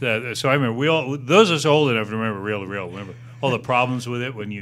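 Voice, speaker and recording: Very fast speech with ordinary pitch variation and big swings in loudness runs over noticeable background noise. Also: man, medium pitch for a man. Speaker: podcast host, interviewer. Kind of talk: casual podcast interview.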